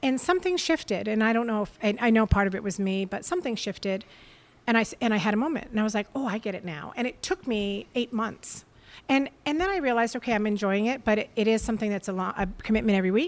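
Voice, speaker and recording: Talking at a very fast pace, a woman with an American accent has a fairly high pitch and lively intonation. The recording is very clean, with a silent background. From Portsmouth, New Hampshire, US. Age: 50s. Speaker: podcast guest, substitute teacher. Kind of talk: casual conversation. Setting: studio.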